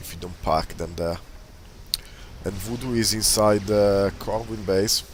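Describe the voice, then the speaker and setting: With a normal speaking voice, this man talks fairly low in pitch, at a moderate pace, his intonation fairly even. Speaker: video game commentator. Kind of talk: live commentary.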